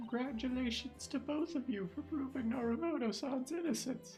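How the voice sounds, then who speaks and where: A put-on character voice sounds strained, pitched fairly high at a moderate pace. Clear music plays in the background. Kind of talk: polite, formal. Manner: bright, upbeat.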